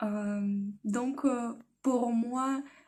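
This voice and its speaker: A woman speaks in a Russian accent at a fairly high pitch. Her delivery is very slow, with monotone, flat intonation. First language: Russian (speaking French). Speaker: language learner vlogger. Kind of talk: personal vlog. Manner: halting, many hesitations.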